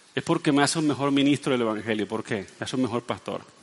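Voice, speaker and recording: A man speaks over noticeable background noise. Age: 50s. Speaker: pastor. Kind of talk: sermon.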